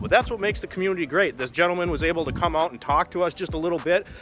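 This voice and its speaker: A man speaks at a very fast pace in a fairly high voice with an enthusiastic tone. Music plays in the background. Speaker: car YouTuber. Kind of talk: casual vlog commentary. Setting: outdoors at a bridge and driving in a car. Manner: casual, enthusiastic.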